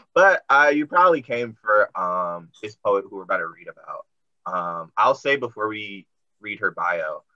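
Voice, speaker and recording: Against a quiet background, a man speaks with an American accent. His pace is fairly slow. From Washington DC. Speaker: poet and teacher, event co-host. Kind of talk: casual hosting, interview. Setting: video call. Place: home room. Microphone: video call.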